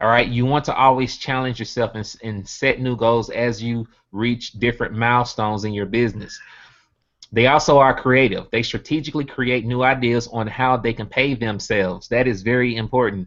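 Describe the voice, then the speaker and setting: Fairly even intonation at a moderate pace, with a Southern US accent. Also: man, medium pitch for a man. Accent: Southern US (country). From US South, Birmingham, Alabama. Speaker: network marketing earner giving testimony. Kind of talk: motivational talk on a video hangout. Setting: online video hangout.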